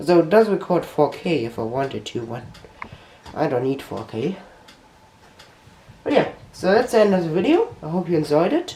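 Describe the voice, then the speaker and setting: A high-pitched male voice with a German accent, very wide pitch swings, moderate pace, long, frequent pauses and noticeable background noise. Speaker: tech YouTuber. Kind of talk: tutorial. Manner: halting.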